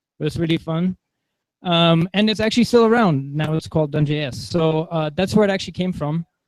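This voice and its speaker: A high-pitched man talks at a fairly quick pace. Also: ordinary pitch variation. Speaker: conference tech speaker. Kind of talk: tech talk with live demo. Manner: fast.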